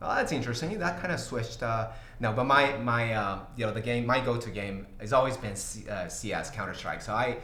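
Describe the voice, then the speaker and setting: Noticeable background noise and audible room echo surround a man talking at a fairly quick pace. His pitch is medium, with ordinary variation. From Brazil, São Paulo. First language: Portuguese. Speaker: tech company CEO. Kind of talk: livestream Q&A. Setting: livestream. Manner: halting, many fillers.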